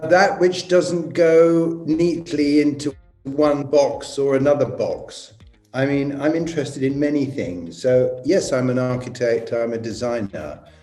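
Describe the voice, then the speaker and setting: Music plays in the background as the speaker, in an English accent, talks at a fairly slow pace with ordinary pitch variation. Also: man, fairly high pitch for a man. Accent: English (RP-leaning). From England. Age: 70s. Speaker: architect and designer. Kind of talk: interview answers.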